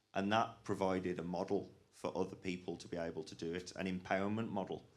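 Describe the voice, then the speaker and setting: In a room with audible echo, a man talks at a fairly quick pace in a very deep, low voice with monotone, flat intonation. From English West Midlands. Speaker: rivers charity manager. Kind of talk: conference panel talk.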